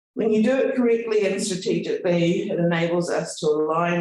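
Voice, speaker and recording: A man speaks with a New Zealand accent. His pace is moderate. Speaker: university executive. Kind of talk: speech. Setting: event with audience.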